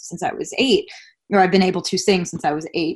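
Against a quiet background, a woman talks at a fairly quick pace in a normal speaking voice with a medium pitch. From Long Island, New York. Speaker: pop singer and anti-bullying speaker. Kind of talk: interview conversation.

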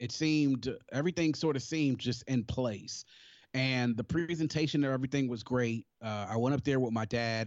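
A man with a plain, everyday voice, medium pitch, ordinary pitch variation and a moderate pace, with an American accent. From Maryland, Prince George's County (DC area). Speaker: HBCU alumnus. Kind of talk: casual interview.

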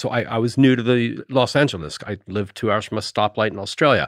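In an ordinary speaking voice, a man talks at a fairly quick pace with ordinary pitch variation against a quiet background. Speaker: cinematographer. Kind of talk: casual interview chat.

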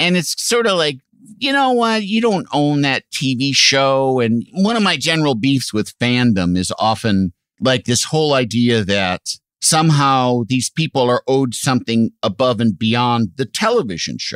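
A man's medium-pitched voice with very wide pitch swings, at a moderate pace, in a dry, close sound with no echo. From US Midwest, Illinois (Aurora). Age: 50s. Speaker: TV sidekick and announcer. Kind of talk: casual chat.

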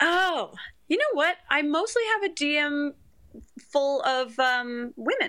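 A raised, projected voice with a bright, sharp tone moves very slowly. Its intonation is lively while its loudness stays very even. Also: woman, high pitch for a woman. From Canada. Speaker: reality TV personality. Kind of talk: casual chat.

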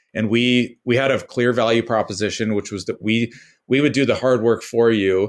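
Against a quiet background, a man with an American accent and a plain, everyday voice speaks at a moderate pace with a medium pitch and fairly even intonation. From US West Coast (San Jose, California). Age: 30s. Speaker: startup founder. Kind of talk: casual interview chat.

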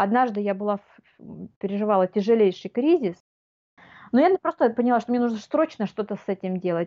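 Fairly quick and lively in intonation, a woman with a fairly high pitch talks with long, frequent pauses. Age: 40s. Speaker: life coach. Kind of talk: casual chat.

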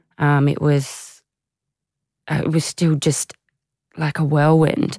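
A woman with an Australian accent and a very deep, low pitch, in a dry, close sound with no echo. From Australia, Canberra. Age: 30s. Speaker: former Olympic hockey player. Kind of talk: interview about personal struggles.

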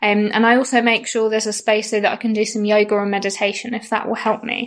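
In a monotone, flat delivery, a woman talks at a fairly high pitch and a fairly quick pace. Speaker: travel blogger. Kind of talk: recorded contribution about travel and mental health.

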